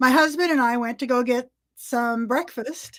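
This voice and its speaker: The speaker is a woman with a high pitch. Her intonation stays fairly even. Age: 60s. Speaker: pagan musician. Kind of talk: casual chat.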